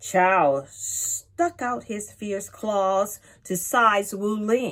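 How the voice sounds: Natural voice, reading aloud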